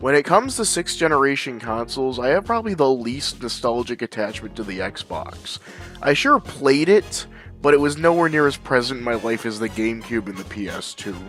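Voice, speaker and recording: With music playing in the background, a man speaks at a medium pitch and a fairly quick pace. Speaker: gaming video creator. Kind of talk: casual gaming commentary.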